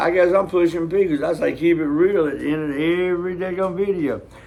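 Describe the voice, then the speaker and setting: In a room with audible echo, a man talks with an American accent. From US South. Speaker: reaction video host. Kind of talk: casual chat.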